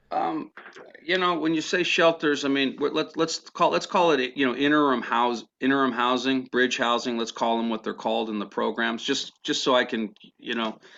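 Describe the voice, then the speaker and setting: His voice sits at a medium pitch with ordinary pitch variation. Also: moderate pace. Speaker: homelessness outreach liaison. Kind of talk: public meeting report. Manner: halting, repeats words.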